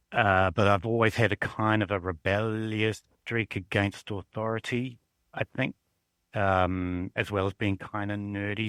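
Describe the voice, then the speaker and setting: Captured dry and close with no echo in a very clean recording with a silent background, a man with a New Zealand accent speaks at a moderate pace in a fairly low pitch with fairly even intonation. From southern New Zealand. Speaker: university librarian. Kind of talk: casual interview.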